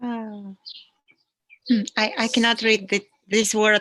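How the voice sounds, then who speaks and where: A woman with a non-native accent speaks very slowly at a fairly high pitch, her voice recorded dry and close with no echo. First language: not English. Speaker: interview host. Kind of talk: live online interview, reading out viewer comments. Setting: video call, live stream. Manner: halting.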